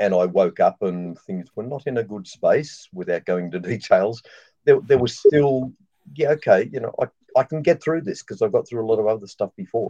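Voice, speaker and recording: A man with an Australian accent and a dark, mellow tone, at a moderate pace, in a dry, close sound with no echo. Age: 60s. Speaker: former missionary. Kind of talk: casual live panel chat.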